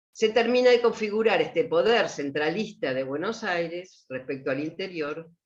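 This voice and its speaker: Speech moves at a moderate pace with hardly any pauses. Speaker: university lecturer. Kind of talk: lecture.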